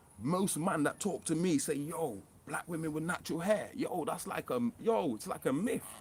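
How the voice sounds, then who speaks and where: Animated and lively in intonation, a man speaks in a high pitch. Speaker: conspiracy vlogger. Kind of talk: casual monologue vlog. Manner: fast.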